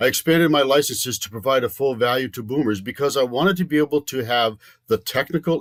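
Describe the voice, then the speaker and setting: Using a normal speaking voice, a man talks at a fairly quick pace with ordinary pitch variation. The sound is dry and close with no echo, on a very clean recording with a silent background. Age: 60s. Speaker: retirement coach. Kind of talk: informational talk.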